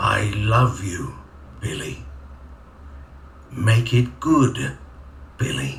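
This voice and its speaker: A man puts on a character voice at a fairly low pitch. He goes at a very slow pace, with clear background noise. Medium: game stream. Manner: halting, repetitive, unnatural delivery.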